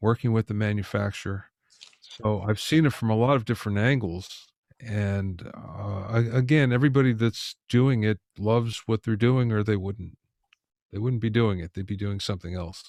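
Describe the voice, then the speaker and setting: On a very clean recording with a silent background, a man with an unremarkable speaking voice talks at a fairly low pitch and a moderate pace, with ordinary pitch variation. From USA. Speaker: audio engineer and music producer. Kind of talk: interview.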